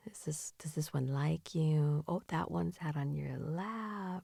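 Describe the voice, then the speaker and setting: A woman speaks in a gentle, soothing tone. Her voice is dark, mellow and somewhat breathy. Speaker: ASMR / comfort and sleep-aid creator. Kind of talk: comforting ASMR improv for grieving pet owners. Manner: soft, gentle, soothing, empathetic.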